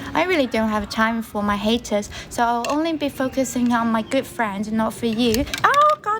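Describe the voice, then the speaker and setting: A woman speaks with a Chinese accent at a fairly high pitch and a moderate pace. She leaves hardly any pauses, and noticeable background noise sits behind her. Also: ordinary pitch variation. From China. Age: young. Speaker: livestreamer. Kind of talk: casual livestream chat.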